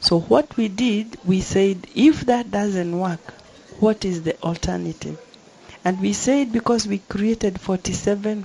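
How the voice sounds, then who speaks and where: Fairly slow speech from a woman, noticeable background noise behind it. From Kenya. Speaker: member of parliament. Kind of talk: panel discussion. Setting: conference venue, live broadcast.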